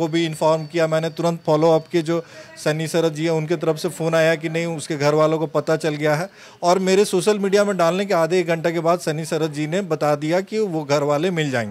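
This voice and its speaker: With a normal speaking voice, a man talks at a moderate pace, his pitch fairly high and his intonation fairly even. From Ranchi, Jharkhand, India; Jharkhand, India. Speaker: surgeon; interviewee. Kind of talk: interview. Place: office. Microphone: handheld.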